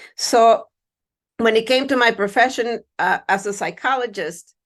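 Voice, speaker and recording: Against a quiet background, a woman with a Spanish accent speaks at a fairly high pitch and a fairly slow pace. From Mexico. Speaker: university diversity administrator and psychologist. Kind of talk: keynote speech.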